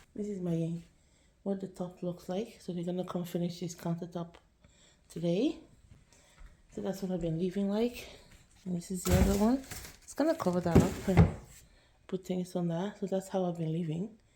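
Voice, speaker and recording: A soft-spoken woman at medium pitch talks at a moderate pace with fairly even intonation, big swings in loudness and long, frequent pauses. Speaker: home vlogger. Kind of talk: casual vlog. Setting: at home.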